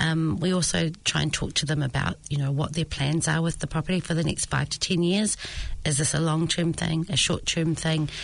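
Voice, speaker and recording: Her very deep, low pitch carries vocal fry as this woman talks at a moderate pace with very even loudness. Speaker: head of property management. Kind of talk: casual interview chat. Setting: studio.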